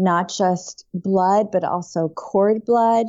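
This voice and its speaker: A woman with a New York accent speaks at a medium pitch with fairly even intonation. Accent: American, New York. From upstate New York. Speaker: non-toxic living author and expert. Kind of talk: interview.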